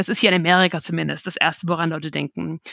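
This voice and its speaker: A woman speaks with ordinary pitch variation. The background is quiet and the sound is dry and close, with no echo. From Germany, Dresden (Saxony). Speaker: market research analyst. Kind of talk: interview conversation. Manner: mumbles a bit.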